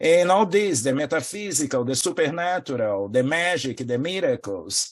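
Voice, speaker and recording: Against a quiet background, a man speaks at a moderate pace. His voice is fairly high, with lively intonation. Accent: Portuguese. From Brazil. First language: Portuguese. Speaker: spiritual teacher. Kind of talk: interview.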